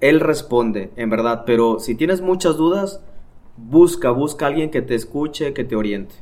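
A man with a fairly high pitch sounds animated. His intonation is lively, and his pace is moderate. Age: 30s. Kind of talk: casual chat.

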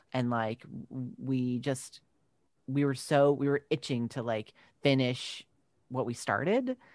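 Against a quiet background, a man with a New York accent speaks at a medium pitch and a fairly slow pace, fairly even in intonation, with long, frequent pauses in a dry, close sound with no echo. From Long Island, New York. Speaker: actor. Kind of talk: casual interview chat.

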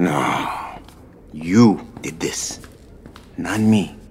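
Putting on a character voice, a man speaks at a very slow pace in a low pitch, with a slightly mellow tone and ordinary pitch variation.

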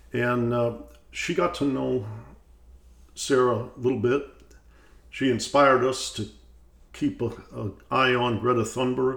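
A man with an American accent and medium pitch, at a fairly slow pace with fairly even intonation and long, frequent pauses. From US Midwest, Detroit. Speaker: podcast host, economics institute president. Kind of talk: interview.

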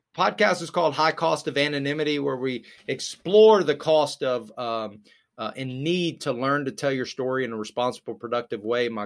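A man talks at a fairly quick pace with ordinary pitch variation. He has a normal speaking voice. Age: 30s. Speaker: addiction recovery advocate and podcast host. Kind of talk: casual interview.

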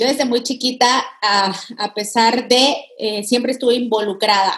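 A woman with a Mexican accent speaks with fairly even intonation. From Mexico. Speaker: digital consultant. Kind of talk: interview.

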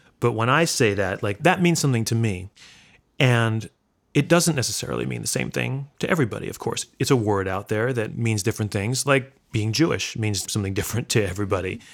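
On a very clean recording with a silent background, a man speaks in an unremarkable speaking voice at medium pitch. His intonation is lively and his pace fairly quick. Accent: American. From New York, Brooklyn. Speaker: bluegrass musician. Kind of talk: interview. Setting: at home.

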